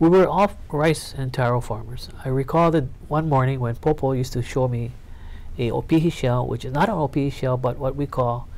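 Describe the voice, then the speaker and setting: A man speaks with a Hawaiian accent. His pitch is medium and his pace moderate. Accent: Hawaii English. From Hawaii, Honolulu. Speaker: politician. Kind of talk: oral history interview.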